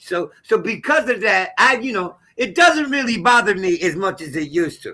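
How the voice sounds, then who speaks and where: A man's raised, projected voice, high in pitch and bright and sharp in tone, with very wide pitch swings at a moderate pace. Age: 60s. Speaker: astrologer. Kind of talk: live panel discussion. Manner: emphatic.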